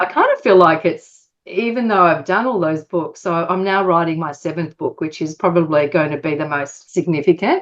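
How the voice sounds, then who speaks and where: This woman's voice sits fairly low in pitch, with ordinary pitch variation. She talks at a moderate pace with hardly any pauses. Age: 60s. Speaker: author and publisher. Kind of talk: interview. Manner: hesitant, with fillers.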